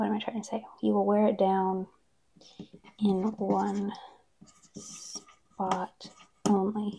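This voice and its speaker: Soft-spoken and at a very slow pace, a woman of medium pitch talks in a monotone, flat way with long, frequent pauses over light background noise. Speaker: ASMR creator. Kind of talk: ASMR soft-spoken talk to camera. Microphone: lapel.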